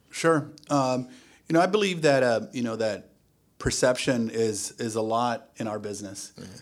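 A man with a normal speaking voice talks at a moderate pace and medium pitch, with ordinary pitch variation and big swings in loudness. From US, Silicon Valley area of California (born in Mexico, moved at age 3). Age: 40s. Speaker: luxury real estate agent. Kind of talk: casual interview.

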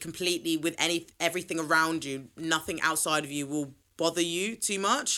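In an English accent, a woman with a fairly low, bright and sharp voice speaks at a moderate pace on a very clean recording with a silent background. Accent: British (England). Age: 20s. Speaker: podcast host. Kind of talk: solo casual chat. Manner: animated.

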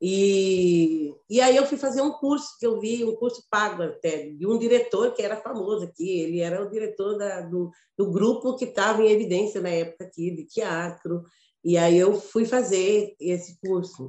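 Her tone is dark and mellow, with ordinary pitch variation. The woman keeps a moderate pace. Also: medium pitch for a woman. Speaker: actress and teacher. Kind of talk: casual chat.

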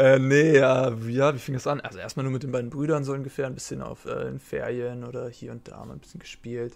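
A man's medium-pitched, monotone, flat delivery at a fairly quick pace, with hardly any pauses, big swings in loudness, and a quiet background. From Germany, Hamburg. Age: 20s. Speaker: professional card game player. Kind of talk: interview. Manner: halting, many fillers.

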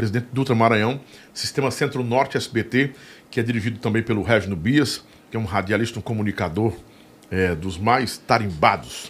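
Somewhat breathy, a man talks at a medium pitch and a moderate pace, with ordinary pitch variation. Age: 50s. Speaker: podcast and radio host. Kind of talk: casual interview chat. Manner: animated.

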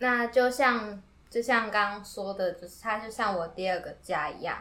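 A woman at a fairly slow pace, her tone bright and sharp, medium in pitch with ordinary pitch variation. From Taiwan, Yilan. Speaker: university student and music creator. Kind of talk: interview.

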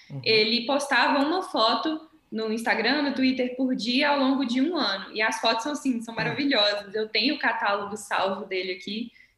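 Against noticeable background noise, a woman with a fairly high pitch and ordinary pitch variation speaks at a moderate pace. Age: 20s. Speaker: English teacher and violinist, astronaut candidate. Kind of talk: interview.

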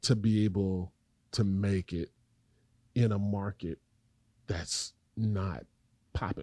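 A man with an American accent speaks at a very slow pace, his pitch fairly low and his tone dark and mellow, with fairly even intonation and long, frequent pauses. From North Carolina, Raleigh. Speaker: poet and educator. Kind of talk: interview.

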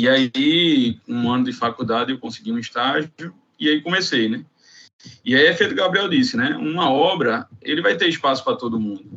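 The speaker moves at a moderate pace, and the pitch swings very widely. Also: man, fairly high pitch for a man. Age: 30s. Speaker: construction operations manager. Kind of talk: casual chat. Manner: halting.

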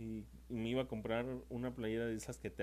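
A man speaks with a central Mexican accent. His tone is dark and mellow. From Mexico, San Luis Potosí. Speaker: podcaster. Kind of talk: casual monologue. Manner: hesitant, many fillers.

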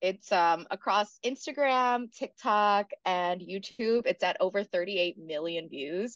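A woman with an American accent and an ordinary speaking voice, medium in pitch, lively in intonation, at a fairly slow pace, in a dry, close sound with no echo. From South Carolina. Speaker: stand-up comedian. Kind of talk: casual interview chat.

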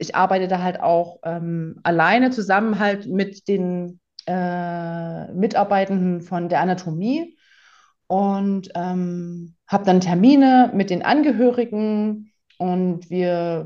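A woman's dark, mellow tone at a very slow pace, against a quiet background. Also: medium pitch for a woman, ordinary pitch variation. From Leipzig, Saxony, Germany. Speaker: documentary photographer. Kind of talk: casual interview. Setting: podcast recording.

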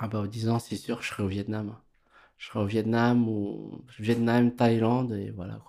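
A man speaks at a medium pitch and a fairly slow pace. His tone is dark and mellow, his intonation monotone and flat. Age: 40s. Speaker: tattoo artist. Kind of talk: interview.

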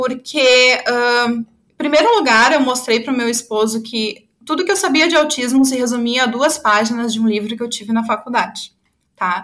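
A woman's high voice with ordinary pitch variation at a moderate pace. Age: 30s. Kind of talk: testimony.

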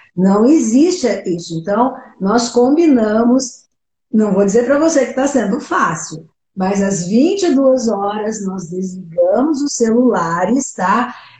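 Breathy in part and dark and mellow in tone, a woman speaks at a fairly high pitch and a very slow pace with lively intonation and audible room echo. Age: 70s. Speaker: retired-age worker sharing weight-loss story. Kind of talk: casual chat.

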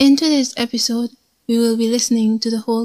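A woman speaks at a fairly high pitch with a dark, mellow tone and a somewhat breathy quality. The sound is dry and close, with no echo. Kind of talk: dramatic poetry narration, reading an original poem aloud.

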